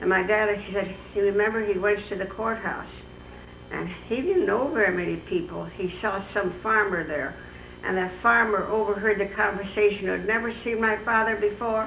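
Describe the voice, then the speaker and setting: In an American accent, a woman talks at a moderate pace and medium pitch with ordinary pitch variation. The room echo is audible, and there is noticeable background noise. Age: 80s+. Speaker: oral history interviewee. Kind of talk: oral history interview. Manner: halting.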